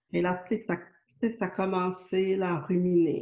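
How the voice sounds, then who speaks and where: With a slight Quebec accent, a woman speaks in a fairly low pitch, her tone dark, mellow and somewhat breathy. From Quebec, Montreal. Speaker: spiritual author and channel. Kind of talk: interview. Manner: hesitant, many fillers.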